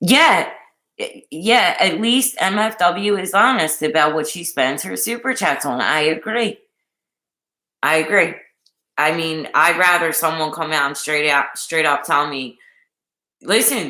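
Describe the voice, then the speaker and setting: Delivered at a fairly slow pace with an animated tone, the speech comes in a Philadelphia accent on a very clean recording with a silent background. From Philadelphia, US. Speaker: YouTube livestreamer. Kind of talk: casual livestream chat.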